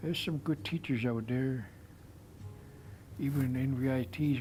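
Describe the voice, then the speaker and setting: At a moderate pace, a man speaks with medium pitch, ordinary pitch variation and a somewhat breathy sound. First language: Nlaka'pamux. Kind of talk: interview storytelling. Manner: halting.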